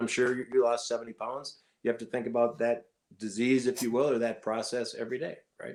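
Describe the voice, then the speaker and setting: A man talks at a fairly quick pace in medium pitch, with fairly even intonation. He has a plain, everyday voice. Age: 60s. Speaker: cardiologist and obesity medicine doctor. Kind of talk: podcast interview.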